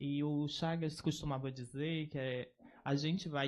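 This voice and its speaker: The speech carries a slight northeastern Brazilian accent and fairly even intonation. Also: man. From Northeast Brazil, Oeiras, Piauí. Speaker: researcher. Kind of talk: academic lecture.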